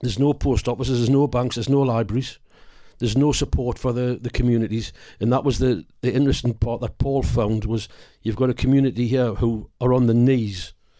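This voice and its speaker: With a North East England accent, a man speaks fairly quickly at a medium pitch, his tone dark and mellow and his intonation fairly even. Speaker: actor. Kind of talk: interview.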